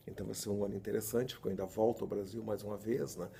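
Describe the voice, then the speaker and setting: A man's fairly low-pitched voice, dark and mellow in tone, with vocal fry. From Scotland, Glasgow. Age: 60s. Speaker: storytelling consultant. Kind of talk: interview.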